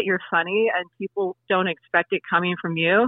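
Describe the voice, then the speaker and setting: A woman with an American accent uses an ordinary speaking voice at a medium pitch, a moderate pace and ordinary pitch variation. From US West Coast (Oregon/California). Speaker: singer, actor and YouTube comedian. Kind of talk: interview. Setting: phone call.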